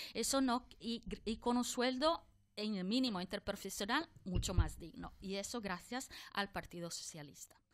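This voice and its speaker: A woman's fairly high, lively voice at a moderate pace, on a very clean recording with a silent background. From outside Spain. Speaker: politician. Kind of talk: political debate.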